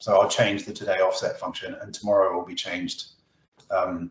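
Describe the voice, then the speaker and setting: Audible room echo surrounds a man who speaks fairly quickly. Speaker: Excel presenter. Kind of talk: tutorial. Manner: hesitant, many fillers and restarts.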